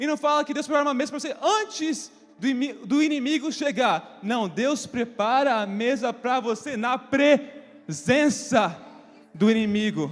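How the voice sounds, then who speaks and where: Over noticeable background noise, a man with an extremely high pitch speaks fairly slowly with lively intonation. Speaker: preacher. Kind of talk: sermon. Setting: church.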